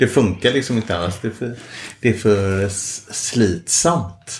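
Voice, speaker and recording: A man speaks at a moderate pace. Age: 50s. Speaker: engineer. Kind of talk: casual chat. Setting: at home. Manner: halting, repeats words.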